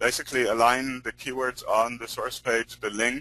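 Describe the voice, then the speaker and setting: With a strong non-native accent, a man speaks in a bright, sharp tone at a medium pitch. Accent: non-American accent, strong. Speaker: search engine optimization expert. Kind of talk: webinar teaching call. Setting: recorded conference call. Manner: hesitant, many fillers.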